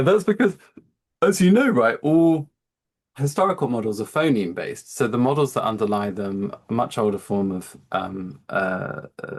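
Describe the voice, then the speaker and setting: Here a man talks with an English accent at a moderate pace. His medium pitch makes very wide swings. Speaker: physician and AI company founder. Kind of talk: seminar talk with Q&A.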